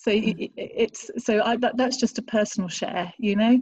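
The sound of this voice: Woman's voice, somewhat breathy and fairly high in pitch, at a moderate pace.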